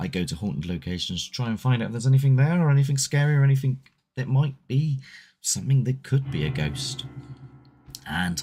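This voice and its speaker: A somewhat breathy man at medium pitch and a fairly quick pace, with very wide pitch swings. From Southwest England. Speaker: paranormal investigator and livestream host. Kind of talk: casual live chat reading viewer comments. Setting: solo livestream. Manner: loose and conversational, with hesitations.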